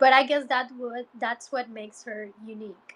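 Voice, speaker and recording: Her tone is bright and sharp, with ordinary pitch variation. The woman speaks at a fairly slow pace. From Guatemala. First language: Spanish. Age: 30s. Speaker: Spanish teacher. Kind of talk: livestream chat with viewers. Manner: casual, chatty with fillers.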